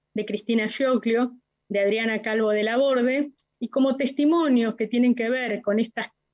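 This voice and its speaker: A woman talks in a plain, everyday voice with a fairly high pitch. Her pace is fairly slow and her intonation fairly even. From Argentina, La Plata. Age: 60s. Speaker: witness, human rights activist. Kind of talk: court testimony.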